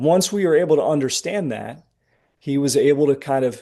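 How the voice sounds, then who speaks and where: A man's dark, mellow tone at a moderate pace with ordinary pitch variation. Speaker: trading performance coach. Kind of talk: webinar presentation. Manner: animated.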